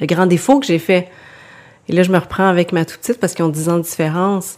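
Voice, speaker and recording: A woman with a Quebec accent speaks at a fairly low pitch with ordinary pitch variation. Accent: Québécois French. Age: 40s. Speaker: author and porcelain painter. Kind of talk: casual interview.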